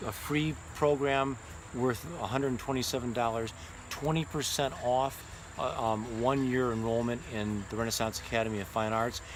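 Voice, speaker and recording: There is noticeable background noise and audible room echo. The intonation stays fairly even. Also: man, medium pitch for a man, moderate pace. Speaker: art instructor. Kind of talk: sales pitch. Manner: halting.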